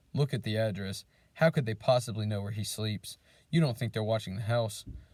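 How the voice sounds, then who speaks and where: A man puts on a character voice at medium pitch, shaky throughout. He moves at a fairly quick pace with ordinary pitch variation. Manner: worried and frightened.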